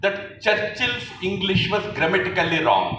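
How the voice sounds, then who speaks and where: Speaking fairly slowly with an Indian accent, a man with a high pitch is heard over noticeable background noise and audible room echo. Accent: Indian English, Telugu. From Andhra Pradesh, India. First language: Telugu. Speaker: public speaker. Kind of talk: public speech. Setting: stage with audience.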